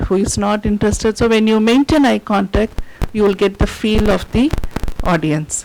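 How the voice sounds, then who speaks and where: A woman speaks with an Indian accent. There is noticeable background noise. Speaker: university lecturer. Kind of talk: lecture.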